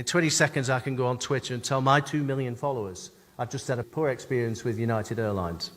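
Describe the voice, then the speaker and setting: A man talks at a very fast pace with an English accent. His pitch sits in the medium range. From England. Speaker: customer experience consultant and keynote speaker. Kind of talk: conference keynote.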